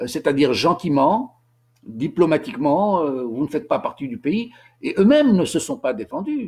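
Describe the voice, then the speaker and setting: Recorded very cleanly against total silence, this man's pitch leaps up and down dramatically. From Tunisia. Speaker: author and commentator on history. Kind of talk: informal lecture. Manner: halting, many repetitions and hesitations.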